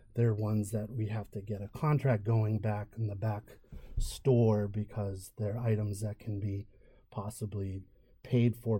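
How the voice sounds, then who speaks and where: A man speaks at a fairly slow pace with a fairly low pitch and flat, monotone intonation. His tone is dark, mellow and somewhat breathy, on a very clean recording with a silent background. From Merrimack Valley, Massachusetts. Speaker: podcast co-host. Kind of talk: casual business podcast chat.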